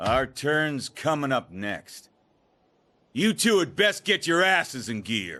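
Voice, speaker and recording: Over a quiet background, a man puts on a character voice, fairly high in pitch with very wide swings, and talks at a fairly slow pace. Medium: video game. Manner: gruff, blunt.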